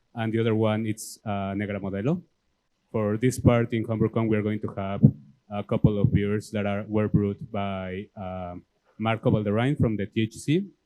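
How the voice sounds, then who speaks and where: The speed stays moderate. Pitch movement is fairly even. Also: man. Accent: Mexican. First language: Spanish. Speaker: homebrew club president. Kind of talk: presentation. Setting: club meeting with audience.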